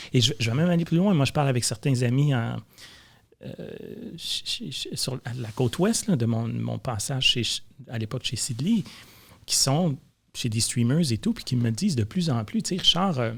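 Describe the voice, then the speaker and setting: With lively intonation and a somewhat breathy voice, a man of medium pitch speaks at a moderate pace. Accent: Quebec. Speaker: film and advertising producer. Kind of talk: casual chat. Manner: repeats words, hesitant starts.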